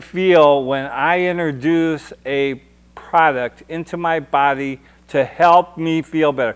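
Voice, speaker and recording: With an animated tone, a man speaks at a fairly high pitch and ordinary pitch variation. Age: 60s. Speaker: military veteran and cannabis activist. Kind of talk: heated talk show discussion. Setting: TV studio.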